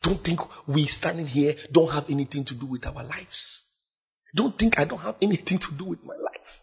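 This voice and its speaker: A man's ordinary speaking voice at a fairly high pitch and a moderate pace, with ordinary pitch variation and big swings in loudness. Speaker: preacher. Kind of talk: sermon. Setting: church.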